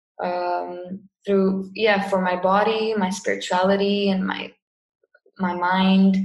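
With a Cypriot accent, a woman speaks very slowly at a medium pitch in a monotone, flat intonation, with audible room echo. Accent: Cypriot Greek English. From Cyprus. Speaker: yoga teacher and online marketer. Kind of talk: casual interview.

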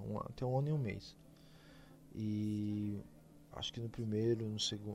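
A man with a fairly low pitch and fairly even intonation talks at a moderate pace, leaving long, frequent pauses. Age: 20s. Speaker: podcast host. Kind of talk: casual solo podcast monologue.

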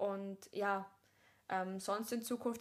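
A woman's fairly high voice with fairly even intonation, an ordinary speaking voice. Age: 20s. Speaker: actress and podcast host. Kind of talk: casual chat.

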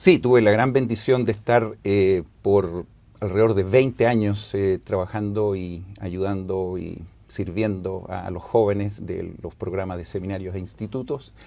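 A man speaks fairly slowly in a fairly low pitch, with a dark, mellow tone. His intonation is fairly even, while his loudness swings widely. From Chile, Santiago. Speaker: former church seminary director. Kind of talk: scripture class discussion.

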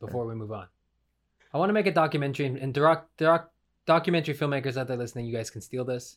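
This man talks at a very fast pace, fairly high-pitched and with lively intonation. The recording is very clean, with a silent background. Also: big swings in loudness. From Canada; western Canada. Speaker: podcast host. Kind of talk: casual comedic banter.

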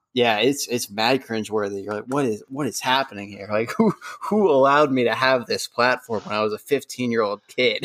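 This man has an unremarkable speaking voice, medium in pitch with ordinary pitch variation, moving at a moderate pace with hardly any pauses. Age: 20s. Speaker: podcast host. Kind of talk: casual chat. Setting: video call.

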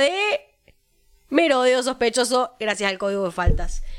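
This woman talks at a moderate pace with a high-pitched voice. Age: 20s. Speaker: podcast co-host. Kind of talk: casual chat.

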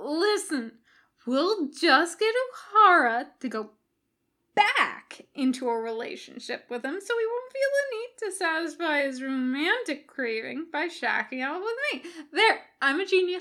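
A woman uses a put-on character voice, high-pitched with a bright, sharp tone. She speaks at a fairly slow pace, and her pitch swings widely.

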